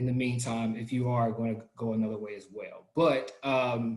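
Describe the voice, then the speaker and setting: With a Southern US accent, a man talks at a fairly slow pace in a somewhat breathy, medium-pitched voice. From US South. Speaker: product trainer. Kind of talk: online training session.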